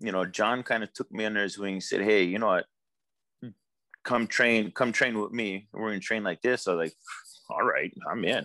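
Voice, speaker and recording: Relaxed yet bright and sharp in tone, a man speaks at a fairly low pitch with fairly even intonation and long, frequent pauses, in a dry, close sound with no echo and a quiet background. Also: moderate pace. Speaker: canoe and surfski designer, outrigger paddler. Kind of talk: casual interview. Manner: relaxed, casual.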